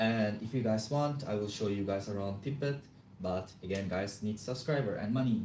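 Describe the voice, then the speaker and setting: Audible room echo surrounds a man with a non-native accent and a fairly low pitch. His tone is dark and mellow, with ordinary pitch variation at a moderate pace. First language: not English. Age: 20s. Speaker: live streamer. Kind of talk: casual live stream chat. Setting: home, live stream. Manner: casual, chatty.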